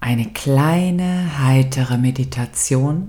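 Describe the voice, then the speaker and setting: Somewhat breathy and very deep in pitch, a woman speaks with lively intonation in a gentle, warm tone that is dark and mellow. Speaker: meditation guide. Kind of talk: guided meditation. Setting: studio with background music. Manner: slow, calm and soothing, with long pauses; soft, gentle and warm, intimate.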